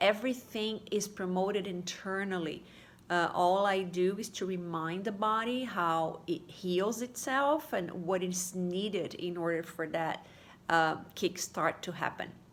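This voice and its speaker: A woman with a Portuguese accent, ordinary pitch variation and a fairly slow pace. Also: medium pitch for a woman. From Brazil. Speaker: holistic therapy practitioner. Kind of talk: casual video talk to followers. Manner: halting, many fillers.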